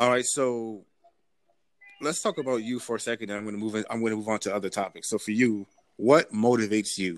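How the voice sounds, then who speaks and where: A man with an American accent talks at a very fast pace and medium pitch, his intonation fairly even, in a dry, close sound with no echo. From US, Nigerian American family. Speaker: podcast host. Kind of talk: casual interview chat. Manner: halting, many fillers.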